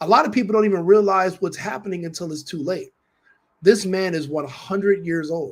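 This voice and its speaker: Fairly even intonation in a man's high voice. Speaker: political commentator. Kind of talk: commentary monologue to camera.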